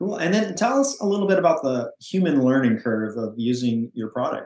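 Speaking at a fairly quick pace, a man with a plain, everyday voice keeps a medium pitch and lively intonation. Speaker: podcast host. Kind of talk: interview, scripted intro and outro.

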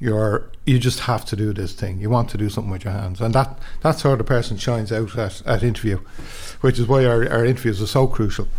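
A man talks at a very fast pace in an Irish accent, his voice somewhat breathy. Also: medium pitch for a man, ordinary pitch variation. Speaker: training centre manager. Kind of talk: interview.

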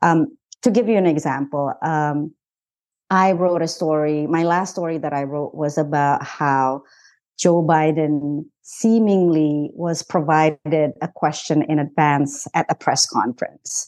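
A woman talks at a very deep, low pitch in an Indonesian accent, with ordinary pitch variation. Her pace is fairly slow against a quiet background. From Indonesia, Jakarta. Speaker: journalist. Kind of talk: interview.

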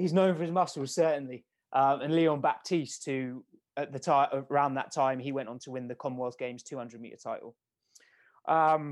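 With a British accent, a man speaks at a moderate pace in a fairly high pitch, keeping his intonation fairly even while his loudness swings widely, on a very clean recording with a silent background. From England, Milton Keynes. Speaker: sprint coach. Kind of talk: podcast interview.

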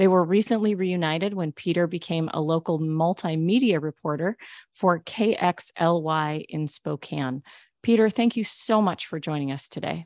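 A woman with a normal speaking voice and a fairly low pitch talks at a moderate pace with ordinary pitch variation, recorded dry and close with no echo against a quiet background. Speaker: podcast host. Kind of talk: interview.

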